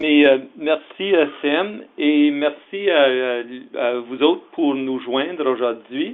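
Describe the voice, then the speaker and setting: The speaker talks with an English accent at a very slow pace. Pitch variation is ordinary. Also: man, fairly high pitch for a man. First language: English (speaking French). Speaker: executive director of an association. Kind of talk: webinar presentation. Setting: webinar. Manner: halting, many fillers.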